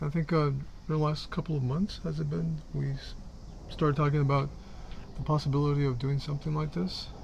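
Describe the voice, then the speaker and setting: A man talks at a fairly quick pace in a fairly high, somewhat breathy voice with ordinary pitch variation. He takes long, frequent pauses. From Mexico. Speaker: Buddhist practitioner, podcast co-host. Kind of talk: casual chat.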